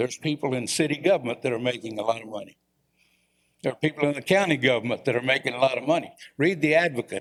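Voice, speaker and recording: A man at a medium pitch with ordinary pitch variation and a very fast pace. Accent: Texan. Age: 70s. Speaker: former small-town mayor, public commenter. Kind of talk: public comment at city council. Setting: city council chamber. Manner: animated.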